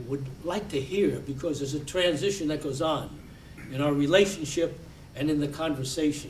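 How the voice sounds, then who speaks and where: With audible room echo, a man of fairly high pitch speaks at a moderate pace and with ordinary pitch variation. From United States. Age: 90s. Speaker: war veteran and Holocaust educator. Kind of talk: lecture. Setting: library talk with audience. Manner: halting, repeats words.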